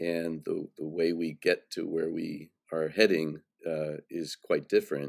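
A man talks fairly slowly, and the sound is dry and close with no echo. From US Midwest and Germany. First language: German. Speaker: architect and college dean. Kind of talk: interview. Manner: frequent fillers and hesitations.

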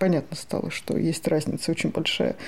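With ordinary pitch variation, the woman's voice carries a dark, mellow tone. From Moscow, Russia. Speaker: writer and human rights activist. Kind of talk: interview.

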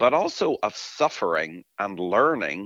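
A man's bright, sharp voice with an Irish accent, vocal fry and very wide pitch swings, in a dry, close sound with no echo. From Ireland. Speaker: professor. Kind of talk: interview.

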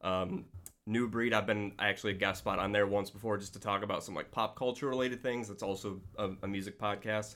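Here is a man with an American accent and a plain, everyday voice, pitched fairly low. He speaks at a fairly quick pace with fairly even intonation, on a very clean recording with a silent background. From New York State. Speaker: podcast listener and mashup creator. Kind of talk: casual chat.

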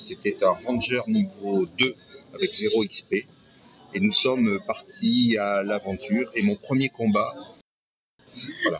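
A man with long, frequent pauses, music in the background. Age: 60s. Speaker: retiree, role-playing club founder and game master. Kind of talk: casual interview.

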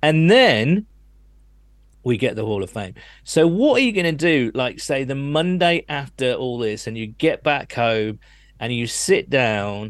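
A man with a British accent, medium pitch and lively intonation, at a fairly slow pace against a quiet background. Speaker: podcast host. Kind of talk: casual chat.

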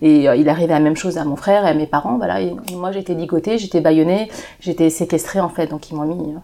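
Noticeable background noise behind very fast talking. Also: woman, fairly low pitch for a woman, ordinary pitch variation. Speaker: association founder. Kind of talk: casual chat.

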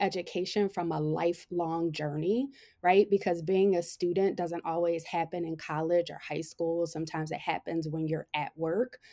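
A dark, mellow tone moves at a moderate pace in a very clean recording with a silent background. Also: woman. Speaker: consultant and professor. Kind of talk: podcast interview. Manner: passionate.

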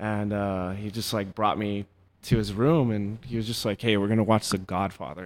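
Recorded very cleanly against a silent background, a man talks at a moderate pace with fairly even intonation and a fairly low pitch. He has an unremarkable speaking voice. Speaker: band member, musician in several bands. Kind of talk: casual chat. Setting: studio.

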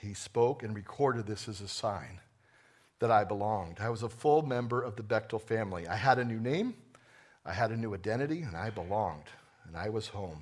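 In a room with audible echo, a man with an American accent talks at a fairly quick pace and a fairly low pitch, with ordinary pitch variation and big swings in loudness. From New Jersey. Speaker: executive pastor. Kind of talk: sermon. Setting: church.

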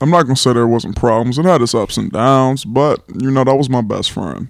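With a Californian accent, a man speaks at a fairly quick pace and a medium pitch. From Los Angeles, California. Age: 20s. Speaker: guest co-host. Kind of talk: casual chat.

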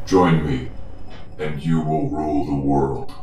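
Someone uses a put-on character voice at a fairly slow pace. There is a slight echo and clear background noise. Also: man, very deep, low pitch for a man. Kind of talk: game master villain voice. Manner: commanding, menacing, terse.

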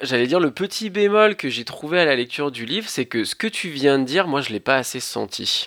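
Over noticeable background noise, a man talks at a fairly quick pace and fairly high pitch, with lively intonation, hardly any pauses, and a dry, close sound with no echo. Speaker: podcast co-host. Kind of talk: casual chat. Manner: stammering at times.

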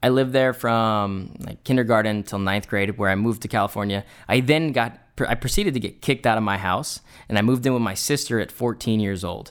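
In a very clean recording with a silent background, a man talks at a very fast pace in an energetic tone with ordinary pitch variation. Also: medium pitch for a man. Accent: American. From US West, rural Idaho. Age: 20s. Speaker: young entrepreneur, podcast host. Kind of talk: motivational monologue. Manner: casual, energetic.

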